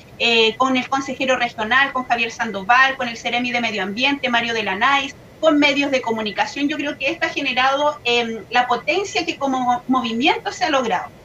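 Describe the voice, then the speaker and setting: Over noticeable background noise, a woman with a high pitch projects her voice at a moderate pace, with ordinary pitch variation and hardly any pauses. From Chile, Biobío region (Laja). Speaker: local environmental activist. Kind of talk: online panel discussion.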